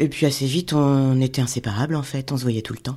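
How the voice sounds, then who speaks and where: In a very clean recording with a silent background, a woman with a dark, mellow tone and a very deep, low pitch talks at a fairly quick pace. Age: 40s. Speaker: illustrator. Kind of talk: testimony.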